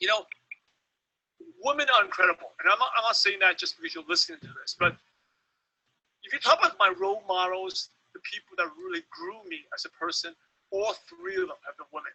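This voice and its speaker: A man at a fairly quick pace, with big swings in loudness and long, frequent pauses. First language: not English. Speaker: network marketing trainer. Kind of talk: webinar training talk. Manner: halting, many fillers.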